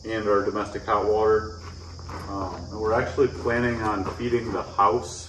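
This man talks while noticeable background noise is present in the recording. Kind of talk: tutorial. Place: open country. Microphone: camera far.

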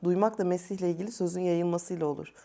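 The recording is very clean with a silent background, carrying a woman's fairly low voice with a dark, mellow tone. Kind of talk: panel discussion.

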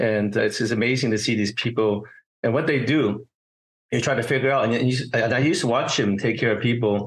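A man speaks at a fairly quick pace in a medium pitch, somewhat breathy. His loudness stays very even and his intonation fairly even. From San Francisco Chinatown; California. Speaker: occupational therapist and healer; interview guest. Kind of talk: interview conversation. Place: home room. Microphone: video call.

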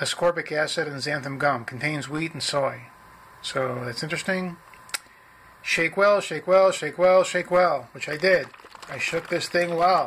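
A man with a high voice, ordinary pitch variation and a fairly slow pace, over light background noise. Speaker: product reviewer. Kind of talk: casual product review, reading label. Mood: dry, wry humor. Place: home room. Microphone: phone near.

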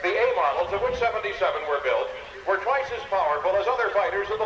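Music plays in the background as a man speaks in a raised, projected voice, with audible echo from the room. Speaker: air show announcer. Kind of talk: commentary. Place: open country. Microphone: pa.

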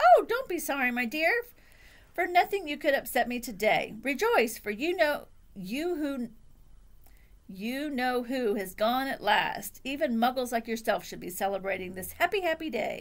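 Putting on a squeaky, cheerful character voice, a woman speaks high and at a moderate pace, with long, frequent pauses. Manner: cheerful, delighted.

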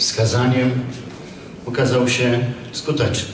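Through noticeable background noise and audible room echo, a man speaks at a very slow pace. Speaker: fair organizer host. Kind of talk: formal opening speech. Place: hall.

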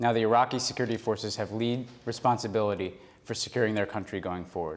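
With an American accent, a man at medium pitch speaks at a very fast pace with fairly even intonation. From New York. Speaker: government official. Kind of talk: Q&A session answering public questions; interview answer. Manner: halting with many fillers. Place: office.

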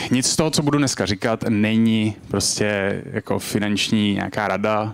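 Speaking at a fairly slow pace, a man is heard over a quiet background. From Czech Republic. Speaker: crypto startup co-founder; conference speaker. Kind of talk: lecture. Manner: casual, filler-heavy. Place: hall. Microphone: handheld.

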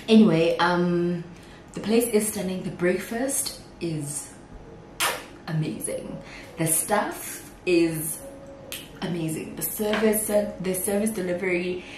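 Very slow speech from a woman, with long, frequent pauses, ordinary pitch variation, noticeable background noise and audible room echo. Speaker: vlogger. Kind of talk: casual vlog chat. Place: kitchen.

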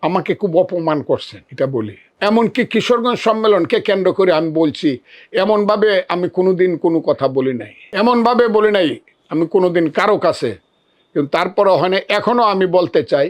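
His pitch sits high for a man. The man's intonation rises and falls in a lively way. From Bangladesh, Kishoreganj. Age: 70s. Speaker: politician. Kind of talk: press statement. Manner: emphatic.

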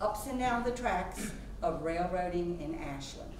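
Light background noise and audible room echo surround a woman speaking. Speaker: museum president introducing a speaker. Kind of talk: formal introduction speech. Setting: small lecture hall, no microphone. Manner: projects without a microphone. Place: classroom.

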